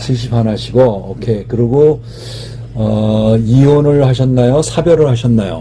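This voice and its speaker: At a fairly slow pace, a man speaks at a medium pitch with ordinary pitch variation over noticeable background noise. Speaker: matchmaking show host. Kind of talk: interview questions.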